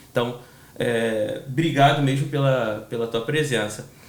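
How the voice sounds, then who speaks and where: In a Rio de Janeiro accent, a man talks at a fairly slow pace, with audible room echo and noticeable background noise. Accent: carioca accent, hissing s. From Rio de Janeiro, Brazil. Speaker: podcast host. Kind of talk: casual interview. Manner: hesitant, fillers.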